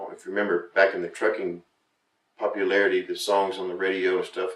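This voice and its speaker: A man talks with a Southern US accent. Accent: southern drawl. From Florida. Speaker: country singer-songwriter. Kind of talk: casual interview.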